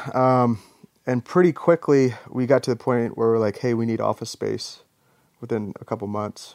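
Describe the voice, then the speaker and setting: An American-accented man with an unremarkable speaking voice, medium pitch, ordinary pitch variation and a moderate pace, in a dry, close recording with no echo. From Norfolk, Virginia. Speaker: Navy SEAL veteran and skateboard business co-owner. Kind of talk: casual chat.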